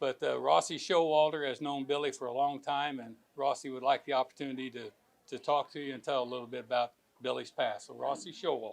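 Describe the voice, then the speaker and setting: Big swings in loudness mark a man's medium-pitched voice. He talks at a fairly quick pace with fairly even intonation. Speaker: event emcee. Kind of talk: tribute speech.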